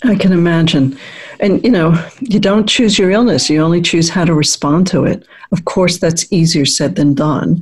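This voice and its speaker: A woman's somewhat breathy, fairly low voice at a very even loudness. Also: ordinary pitch variation, moderate pace. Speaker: radio host and psychologist. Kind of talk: radio show interview. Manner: polished, warm and measured, professional radio-host delivery.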